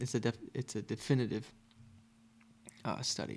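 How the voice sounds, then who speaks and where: A soft-spoken voice with vocal fry, talking at a fairly quick pace. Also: man. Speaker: philosophy podcaster. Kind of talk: casual chat. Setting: home recording at night.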